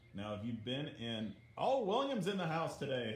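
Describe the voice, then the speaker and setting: Fairly slow speech with audible room echo. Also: man. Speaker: art teacher. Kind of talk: livestream art lesson. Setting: livestream from iPad. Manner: soft-spoken. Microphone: muffled iPad audio.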